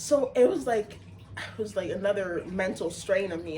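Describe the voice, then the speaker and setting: Over noticeable background noise, a woman speaks at a moderate pace in an animated tone. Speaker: retail sales worker. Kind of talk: casual chat.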